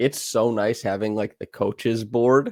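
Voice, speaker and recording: In a Canadian accent, an ordinary speaking voice talks at a fairly slow pace with fairly even intonation, recorded very cleanly, dry and close, with a silent background and no echo. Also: man. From Canada. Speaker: basketball film analyst, podcast co-host. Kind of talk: casual chat.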